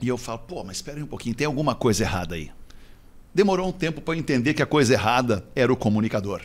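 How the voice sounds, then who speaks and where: At a very fast pace, a man with a medium pitch talks with very wide pitch swings and big swings in loudness. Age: 50s. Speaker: radio broadcaster and executive. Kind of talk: casual chat.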